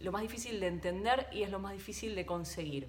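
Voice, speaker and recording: Amid noticeable background noise and audible room echo, a woman at medium pitch speaks with very wide pitch swings. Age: 40s. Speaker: podcast host, former TV reporter. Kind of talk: solo podcast monologue. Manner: halting.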